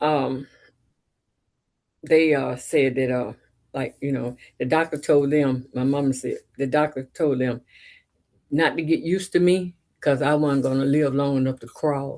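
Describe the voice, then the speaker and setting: Fairly even intonation carries this fairly slow delivery, which has long, frequent pauses. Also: woman, very deep, low pitch for a woman. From US South. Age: 70s. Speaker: painter and blues singer. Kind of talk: casual interview conversation.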